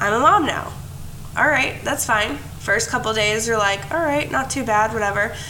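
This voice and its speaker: Noticeable background noise sits under a woman's voice. She speaks at a moderate pace with ordinary pitch variation. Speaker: podcast co-host and mom. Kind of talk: casual chat. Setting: remote recording, talking over mics.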